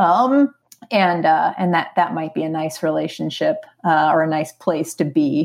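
A woman with a normal speaking voice talks at a fairly slow pace, her pitch fairly low with ordinary pitch variation. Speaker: filmmaker. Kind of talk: casual chat.

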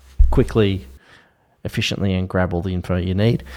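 A very clean recording with a silent background of a man speaking with an Australian accent. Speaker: podcast co-host. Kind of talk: casual chat. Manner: breathless, fast.

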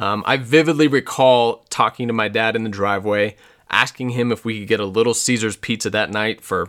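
A man with a General American accent speaks in a plain, everyday voice at a medium pitch, a moderate pace and fairly even intonation, on a very clean recording with a silent background. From Colorado, US. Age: 30s. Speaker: podcast host. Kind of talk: personal storytelling monologue.

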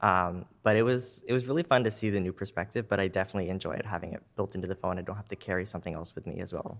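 A man's fairly low voice at a very fast pace, hardly any pauses, on a very clean recording with a silent background. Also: ordinary pitch variation. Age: 20s. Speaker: amateur photographer. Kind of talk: interview.

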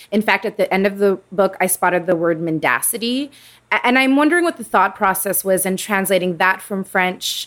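Speaking at a fairly quick pace, a woman with a plain, everyday voice keeps a medium pitch and ordinary pitch variation. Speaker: bookstore podcast host. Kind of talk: interview introducing guests and discussing a book.

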